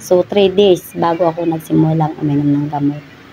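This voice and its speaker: Noticeable background noise is audible here. A woman talks at a moderate pace. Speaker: vlogger sharing health experience. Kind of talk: personal vlog testimony. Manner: hesitant, many fillers.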